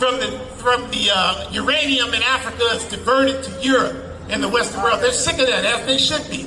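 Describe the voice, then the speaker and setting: In a room with audible echo and noticeable background noise, a man projects a raised voice at an extremely high pitch and a fairly quick pace. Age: 60s. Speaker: protest speaker, activist organizer. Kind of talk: rally speech. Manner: animated.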